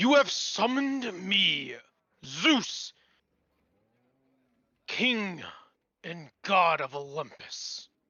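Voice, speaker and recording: A raspy, put-on character voice moves at a very slow pace with long, frequent pauses. Pitch swings very widely and loudness shifts a great deal. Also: man, high pitch for a man. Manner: commanding, ominous.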